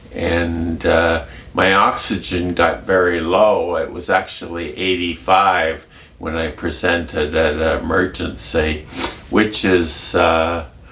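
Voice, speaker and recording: Speech comes at a very slow pace with fairly even intonation, amid noticeable background noise and audible room echo. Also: man, very deep, low pitch for a man. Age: 70s. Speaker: vlogger with schizophrenia. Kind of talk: casual vlog. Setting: home kitchen. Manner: halting.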